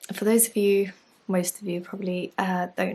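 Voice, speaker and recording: A soft-spoken, somewhat breathy woman's voice at medium pitch, monotone and flat, on a very clean recording with a silent background. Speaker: yoga teacher and life coach. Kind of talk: casual vlog talk. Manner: soft-spoken, speaking quietly.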